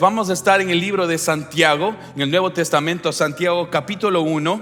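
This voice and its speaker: Over noticeable background noise, a man with a fairly high-pitched voice talks at a fairly quick pace. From Ecuador. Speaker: pastor. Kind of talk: sermon. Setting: church service with congregation. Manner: animated.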